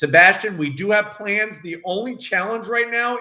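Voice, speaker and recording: In a New York accent, a man projects a raised voice at a high pitch, his tone bright, sharp and animated. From Brooklyn, New York. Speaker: car reviewer, YouTube host. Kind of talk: live Q&A chat. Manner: animated, loud.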